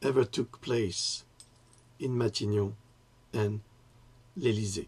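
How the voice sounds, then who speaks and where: A man speaks at a very slow pace in a fairly low pitch. His voice is somewhat breathy. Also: ordinary pitch variation. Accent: French. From France. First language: French. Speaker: writer and political commentator. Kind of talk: political monologue to camera. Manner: halting, with self-corrections.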